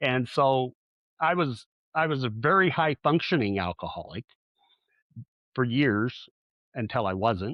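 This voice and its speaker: Lively intonation from a man at a medium pitch, in a Southeast Colorado accent, with long, frequent pauses. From southeast Colorado, US. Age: 60s. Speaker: relationship coach. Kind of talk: interview. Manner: halting.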